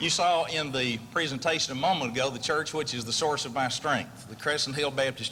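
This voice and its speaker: With a Texas accent, a man talks at a fairly quick pace in a fairly high pitch over noticeable background noise. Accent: Texas twang. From Texas, Amarillo. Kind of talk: award acceptance speech.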